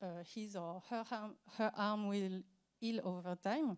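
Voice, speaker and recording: A woman speaks at a fairly slow pace with a French accent. Her tone is dark and mellow, and her intonation stays fairly even. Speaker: accessibility expert. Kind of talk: conference talk. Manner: halting, many fillers.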